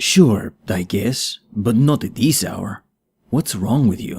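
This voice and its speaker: Using a put-on character voice, a man speaks very slowly at a medium pitch. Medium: read story. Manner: dry, sardonic.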